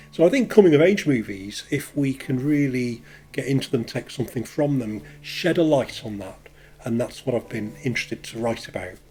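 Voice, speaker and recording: A man is talking here. His intonation is lively and his pace moderate. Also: medium pitch for a man. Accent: Leeds. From northern England, Leeds. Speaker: counsellor. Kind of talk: casual personal introduction to camera. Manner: hesitant, with fillers.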